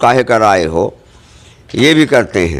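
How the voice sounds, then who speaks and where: There is noticeable background noise. A man talks through it. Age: 60s. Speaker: local party worker making allegations. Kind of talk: news interview.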